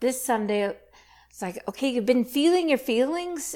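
A high-pitched woman with a Canadian accent, lively in intonation and moderate in pace. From Saskatchewan, Canada. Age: 50s. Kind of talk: testimony.

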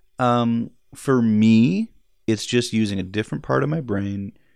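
Slow-ish and fairly low-pitched, a man with a normal speaking voice talks at a fairly slow pace with a Canadian accent. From Edmonton, Alberta, Canada. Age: 40s. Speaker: film editor. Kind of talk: interview.

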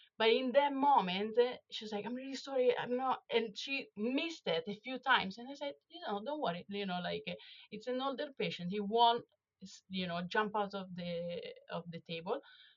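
A woman with an Italian accent and a fairly high pitch speaks with lively intonation and big swings in loudness. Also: moderate pace. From Italy. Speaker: veterinary dental specialist. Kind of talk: interview.

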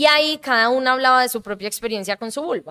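A woman speaks with a bright, sharp tone and ordinary pitch variation. The recording is very clean, with a silent background. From Colombia (Bogotá until about age 11). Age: 30s. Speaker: improviser, comedian and actress. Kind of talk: casual interview.

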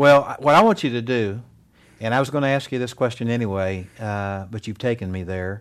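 At a fairly quick pace, a man speaks in an unremarkable speaking voice with medium pitch and ordinary pitch variation, on a very clean recording with a silent background. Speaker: radio host and ministry director. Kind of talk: interview. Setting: home living room.

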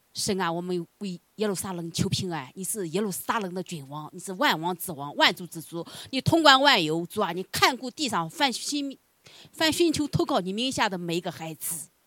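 The voice has a bright, sharp tone, very wide pitch swings and big swings in loudness. It moves at a moderate pace with a dry, close sound and no echo. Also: woman, medium pitch for a woman. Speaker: congregation member leading prayer. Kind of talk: fervent prayer. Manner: earnest, pleading.

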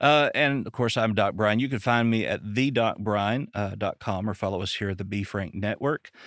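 With a Southern US accent, a man speaks at medium pitch with hardly any pauses on a very clean recording with a silent background. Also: ordinary pitch variation. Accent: Southern US drawl. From Arkansas, US. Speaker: podcast host and psychologist. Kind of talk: casual interview chat.

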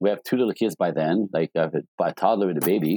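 A man with a French accent, fairly low in pitch and fairly quick, in a dry, close sound with no echo. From Quebec City, Canada. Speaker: life and relationship coach. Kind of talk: interview. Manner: animated.

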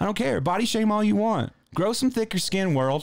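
This man's high voice comes through on a very clean recording with a silent background. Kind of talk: angry rant. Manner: fast, impassioned, talks over partner.

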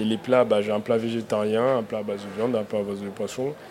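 A man at a medium pitch with fairly even intonation, noticeable background noise behind him. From Africa, came to France at 9. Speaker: chef. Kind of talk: live radio panel discussion. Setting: outdoor live broadcast with audience. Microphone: held too far from the mic.

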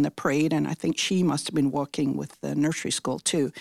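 A woman at a fairly quick pace, dry and close with no echo, on a very clean recording with a silent background. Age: 70s. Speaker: longtime volunteer puppy raiser. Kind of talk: interview.

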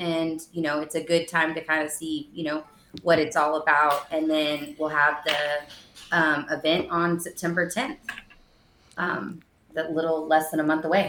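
A woman with an American accent talks at a fairly slow pace. Her very deep, low voice stays monotone and flat. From Texas, East Austin. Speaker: cannabis store owner. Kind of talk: interview.

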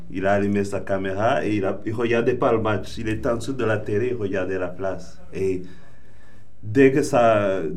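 A man is speaking. The room echo is audible. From Rwanda. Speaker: artist and football fan. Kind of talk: casual chat. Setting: studio.

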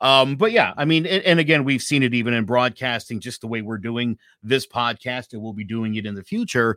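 The speech comes at a fairly quick pace with hardly any pauses, a bright, sharp tone, ordinary pitch variation and big swings in loudness, all in a very clean recording with a silent background. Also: man, medium pitch for a man. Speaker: interviewer and small business owner. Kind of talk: interview.

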